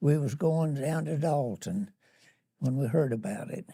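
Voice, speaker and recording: With a Southern US accent, a man speaks at a fairly slow pace in a dark, mellow tone, pitched fairly high with ordinary pitch variation. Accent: Southern American. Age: 80s+. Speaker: war veteran. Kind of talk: interview answer.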